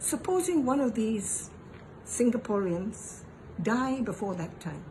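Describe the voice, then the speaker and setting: Amid noticeable background noise, a woman with a fairly high pitch speaks at a very slow pace, her voice making very wide pitch swings. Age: 80s+. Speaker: elderly voter. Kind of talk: political appeal.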